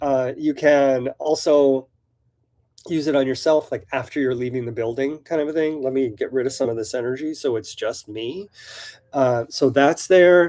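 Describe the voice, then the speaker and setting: A man with an American accent, fairly high in pitch yet dark and mellow in tone, at a moderate pace with ordinary pitch variation. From US Pacific Northwest. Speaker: shop owner hosting live Q&A. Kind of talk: live stream Q&A, casual chat. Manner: casual with many fillers.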